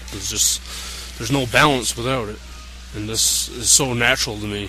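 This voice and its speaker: A man talks at a moderate pace over music in the background. The room echo is audible, and his loudness swings widely. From Newfoundland, Canada. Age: young. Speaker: pro wrestler. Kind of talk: interview.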